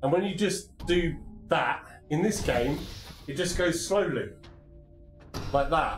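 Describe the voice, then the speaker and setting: A man speaks at a fairly slow pace and high pitch, with long, frequent pauses. Audible room echo and background music surround him. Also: ordinary pitch variation. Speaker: VR gaming streamer. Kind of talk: live gameplay stream. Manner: animated.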